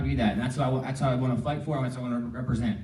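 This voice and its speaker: A man with an American accent, audible room echo around the voice. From New Jersey. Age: 30s. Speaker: congressional candidate. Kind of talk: campaign speech at forum. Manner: halting, repeats words.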